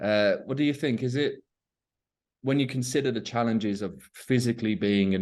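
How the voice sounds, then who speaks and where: Against a quiet background, a man with a British accent talks at a fairly quick pace and with lively intonation. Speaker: English teacher. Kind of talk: casual conversation.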